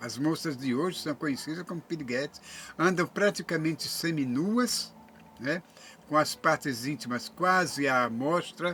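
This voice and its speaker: The tone is bright and sharp, with ordinary pitch variation. Delivery comes at a fairly slow pace. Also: man, fairly high pitch for a man. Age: 70s. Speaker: YouTuber. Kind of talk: monologue to camera. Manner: halting.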